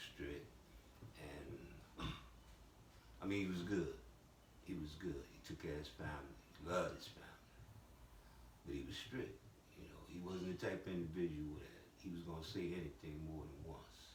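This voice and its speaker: A man with an American accent and a very deep, low voice talks at a moderate pace with ordinary pitch variation, big swings in loudness, long, frequent pauses and audible room echo. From Chicago, US. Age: 70s. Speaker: former gang elder. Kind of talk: interview.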